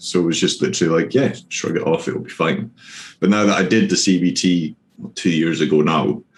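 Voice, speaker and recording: With a Scottish accent, a man with a very deep, low voice talks at a fairly quick pace. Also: ordinary pitch variation. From Scotland. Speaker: streamer and prison officer on leave. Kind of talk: casual interview.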